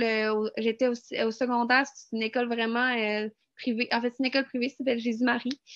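The delivery is fairly quick, with monotone, flat intonation. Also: woman. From Quebec. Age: 20s. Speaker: student. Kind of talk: testimony.

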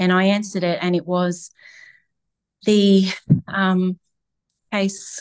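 A woman with an Australian accent speaks at a fairly slow pace and a medium pitch, leaving long, frequent pauses against a quiet background. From Queensland, Australia (Toowoomba area). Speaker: adoptive mother, stay-at-home mum. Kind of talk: interview, personal story.

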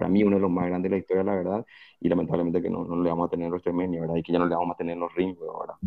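A man rattles along at a very fast pace in a very deep, low voice with monotone, flat intonation. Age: 30s. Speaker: wrestling fan commentator. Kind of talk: casual chat.

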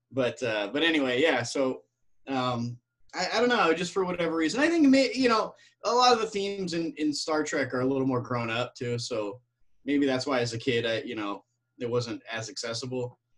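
Lively intonation carries speech delivered at a fairly quick pace. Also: man, fairly high pitch for a man. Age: 40s. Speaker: actor. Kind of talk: casual chat. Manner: halting.

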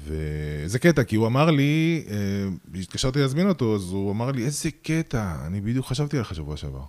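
This man's pitch swings very widely as he talks at a moderate speed. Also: medium pitch for a man. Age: 40s. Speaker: podcast host and stand-up comedian. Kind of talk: interview.

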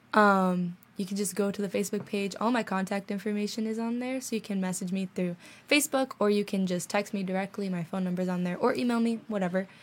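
At a very fast pace, a woman talks with a medium pitch. Her voice is somewhat breathy, with fairly even intonation. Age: young. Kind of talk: casual chat. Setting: studio.

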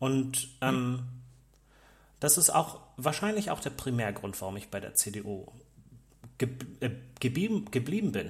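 At a very slow pace, a man speaks at medium pitch in a somewhat breathy voice. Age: young. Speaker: podcast co-host, technician. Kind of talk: casual political discussion. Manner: halting, repeats words.

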